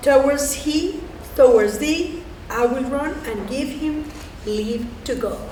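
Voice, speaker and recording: Speaking at a very slow pace, a woman with a high pitch talks in a Spanish accent. Noticeable background noise and audible room echo fill the recording. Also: ordinary pitch variation. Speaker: community theater reader, social worker. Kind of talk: reading aloud poetry.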